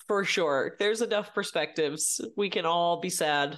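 In an American accent, a woman with a plain, everyday voice speaks at a fairly low pitch with ordinary pitch variation against a quiet background. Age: 30s. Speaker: comedian. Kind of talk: casual chat.

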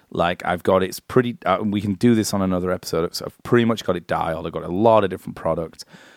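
In a very deep, low voice, a man talks very fast with fairly even intonation, the sound dry and close with no echo. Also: hardly any pauses. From northern England. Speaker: podcast co-host. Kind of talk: casual chat. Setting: studio.

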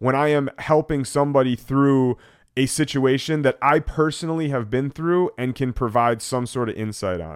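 This man's voice sits at a medium pitch, moving at a moderate pace with ordinary pitch variation. The recording is very clean and dry, close-miked with a silent background and no echo. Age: 30s. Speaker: vlogger. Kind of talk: personal vlog monologue. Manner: casual, hesitant with fillers.

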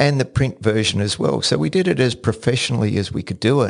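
Against a quiet background, a man talks at a fairly quick pace and medium pitch in an ordinary speaking voice. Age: 60s. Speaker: podcast host. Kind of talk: solo podcast monologue. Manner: repeats words when starting sentences.

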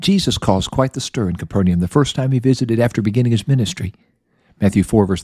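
Plain reading aloud, the surroundings quiet

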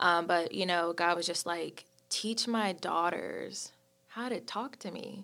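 Over music in the background, a woman with an American accent talks at a very slow pace with a fairly low pitch and ordinary pitch variation. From North Carolina (High Point). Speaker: church leader. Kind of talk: casual chat.

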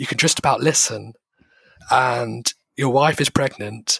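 With vocal fry in his medium-pitched voice, a man speaks very slowly in a dry, close sound with no echo. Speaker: patient sharing illness experience. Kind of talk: interview.

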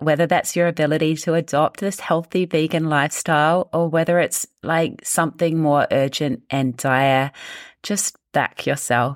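A woman's very deep, low voice in a New Zealand accent, with fairly even intonation and very even loudness, on a very clean recording with a silent background and a dry, close sound with no echo. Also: moderate pace. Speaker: health coach and business owner. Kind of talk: interview conversation.

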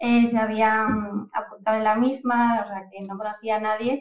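With a fairly high pitch, a woman speaks at a fairly slow pace in a monotone, flat intonation. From Asturias, Spain (Oviedo). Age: 20s. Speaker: data and AI professional. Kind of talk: casual interview.

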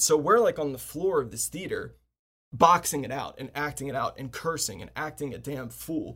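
An animated man with an American accent talks at a moderate pace. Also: very clean recording, silent background. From US, Washington D.C. suburbs. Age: 30s. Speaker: podcast host, filmmaker. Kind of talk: casual chat.

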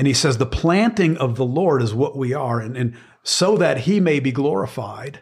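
Very clean recording with a silent background: a man's somewhat breathy, fairly high-pitched voice with lively intonation. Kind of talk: sermon-like teaching conversation. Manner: earnest, teaching.

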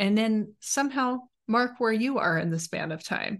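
A woman speaks with an ordinary speaking voice, fairly high in pitch, using lively intonation. Her pace is fairly slow, and the background is quiet. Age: 40s. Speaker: podcast host, relationship coach. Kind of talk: casual chat.

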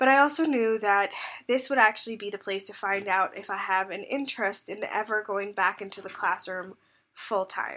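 A woman speaks at a medium pitch and a moderate pace. Her tone is bright and sharp, with ordinary pitch variation. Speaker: podcast host and teacher. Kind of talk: casual podcast monologue.

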